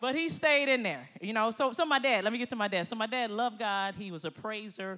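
Here a woman with an American accent speaks at a fairly quick pace in a bright, sharp tone. Her delivery is animated, with lively intonation. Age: 50s. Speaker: pastor. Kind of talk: sermon. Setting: church.

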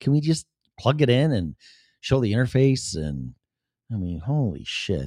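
A man with a Chicago accent speaks in a dark, mellow tone, his pitch swinging very widely, with long pauses coming often. The sound is dry and close with no echo, and the recording is very clean with a silent background. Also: medium pitch for a man, moderate pace. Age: 50s. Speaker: podcast host. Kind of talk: casual solo talk show monologue. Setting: home studio.

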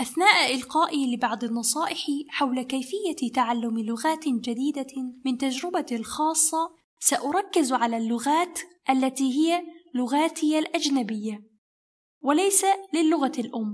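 This woman has a high voice. She talks at a fairly slow pace. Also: ordinary pitch variation. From Egypt, Kazakh parents. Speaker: language-learning podcast host. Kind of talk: scripted narration for learners. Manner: slow, clear.

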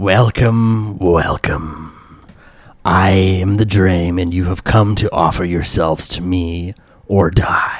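Putting on a character voice, a booming man speaks at a fairly slow pace in a very deep, low pitch. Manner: imposing.

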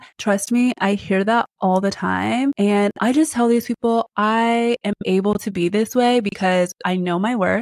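In a plain, everyday voice, a woman speaks at a fairly slow pace and medium pitch, with fairly even intonation and very even loudness. The sound is dry and close, with no echo. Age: 30s. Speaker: podcast host. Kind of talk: solo advice talk.

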